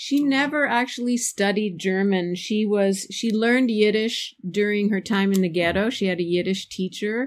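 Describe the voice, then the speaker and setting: In a plain, everyday voice with an American accent, a woman talks at medium pitch and moderate pace, with ordinary pitch variation, very even loudness and hardly any pauses. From New York State, US. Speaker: author. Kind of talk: interview conversation.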